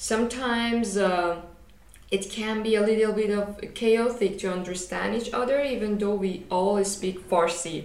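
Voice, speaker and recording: Noticeable background noise sits behind a woman speaking at a medium pitch. She talks at a fairly slow pace with fairly even intonation. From Iran. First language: Persian. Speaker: podcast co-host, master's student. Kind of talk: casual chat.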